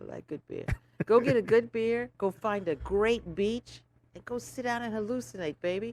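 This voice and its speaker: An animated woman speaks with an American accent at a moderate pace. Her pitch is fairly high and her intonation lively. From St. Croix, US Virgin Islands. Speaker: lawyer and business owner. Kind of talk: casual interview chat.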